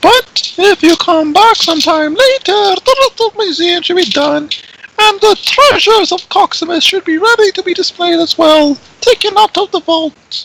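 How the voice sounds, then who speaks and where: This put-on character voice is squeaky and extremely high in pitch. It moves at a moderate pace. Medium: actual play. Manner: chatty, eager to please.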